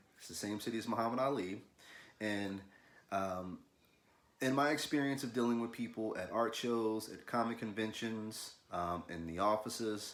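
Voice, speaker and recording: A man with an American accent speaks at a moderate pace in a fairly low pitch with ordinary pitch variation. His loudness swings widely, and the room echo is audible. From US South, Louisville, Kentucky. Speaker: artist, illustrator. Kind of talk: casual video talk, art tutorial intro. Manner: casual, halting with fillers and repeats.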